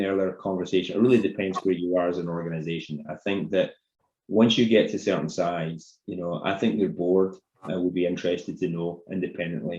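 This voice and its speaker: A man's very deep, low voice with an American accent at a fairly quick pace. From Scotland, Paisley near Glasgow. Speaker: company CEO, webinar presenter. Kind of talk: webinar Q&A.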